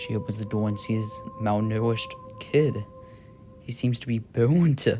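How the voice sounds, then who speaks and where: A man at a medium pitch with ordinary pitch variation and a moderate pace, over music in the background. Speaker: voice actor. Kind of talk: horror story narration.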